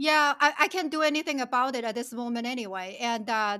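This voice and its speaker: Over a very clean recording with a silent background, a woman with a Chinese accent projects a raised, high-pitched voice with a bright, sharp tone and lively intonation. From China. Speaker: financial planner and company founder. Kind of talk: casual interview chat.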